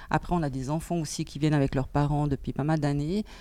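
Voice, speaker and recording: A woman's very deep, low-pitched voice with a dark, mellow tone, on a very clean recording with a silent background. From German-speaking Switzerland. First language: Swiss German (speaking French). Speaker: bookseller. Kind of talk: interview. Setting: bookshop before opening.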